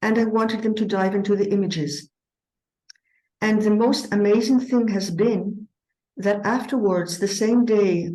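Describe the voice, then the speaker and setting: Her voice sits at a medium pitch, dark and mellow in tone and somewhat breathy. She speaks at a moderate pace with fairly even intonation and long, frequent pauses. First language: not English. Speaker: eurythmy teacher. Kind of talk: conference presentation. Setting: conference with audience. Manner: hesitant, with frequent fillers.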